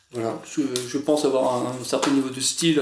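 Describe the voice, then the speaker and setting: Noticeable background noise surrounds a man whose voice sits fairly high. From France, Normandy. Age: 30s. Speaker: writer. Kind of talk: casual chat. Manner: halting.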